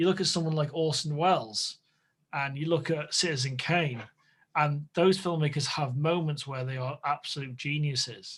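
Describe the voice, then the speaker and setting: With a northwest English accent, a man speaks at a moderate pace in a fairly high, somewhat breathy voice with ordinary pitch variation on a very clean recording with a silent background. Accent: northern English (northwest). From northwest England. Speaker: podcast host. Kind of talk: casual chat. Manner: halting.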